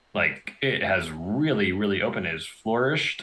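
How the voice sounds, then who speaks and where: A man with an American accent speaks at a fairly low pitch with lively intonation. Noticeable background noise runs underneath. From US Northeast, western Massachusetts. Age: 20s. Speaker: artist. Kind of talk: casual chat. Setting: live stream.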